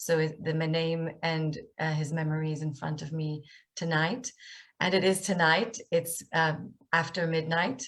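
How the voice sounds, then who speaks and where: With an Israeli accent, a woman speaks at a fairly low pitch and a fairly slow pace, somewhat breathy and with ordinary pitch variation, on a very clean recording with a silent background. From Israel, north Tel Aviv. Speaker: author and speaker. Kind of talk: lecture.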